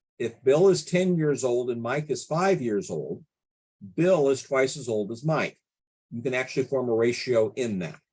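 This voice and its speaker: This is a man with a normal speaking voice at a medium pitch. He talks at a moderate pace with lively intonation. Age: 60s. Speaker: statistics consultant. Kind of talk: tutorial.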